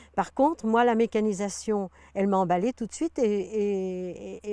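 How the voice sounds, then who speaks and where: A woman speaks at a fairly slow pace with a medium pitch and ordinary pitch variation. Her tone is dark and mellow, and the sound is dry and close with no echo. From Paris region, France. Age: 70s. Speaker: retired farmer. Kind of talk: interview. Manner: halting, many hesitations.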